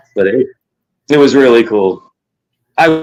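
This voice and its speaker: A man with an American accent speaks with lively intonation while music plays in the background. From New York (Queens). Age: 40s. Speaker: livestream host. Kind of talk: casual chat. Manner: animated.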